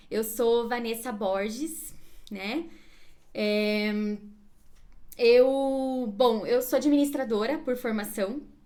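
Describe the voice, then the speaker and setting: A woman's high voice at a very slow pace, with long, frequent pauses, ordinary pitch variation and audible room echo. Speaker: career coach. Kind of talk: live stream class. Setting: Instagram live.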